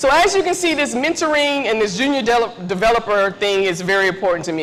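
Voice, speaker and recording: A woman speaks loudly and fairly quickly at a fairly high pitch, her voice swinging very widely. Noticeable background noise and audible room echo surround her. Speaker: tech mentoring speaker. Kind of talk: conference talk. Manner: casual.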